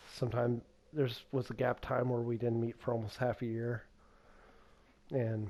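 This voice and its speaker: In a dark, mellow tone, the speaker keeps a moderate pace with very even loudness, monotone, flat intonation and long, frequent pauses. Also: man, medium pitch for a man. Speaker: gaming YouTuber and game master. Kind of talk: casual monologue. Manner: unscripted with pauses.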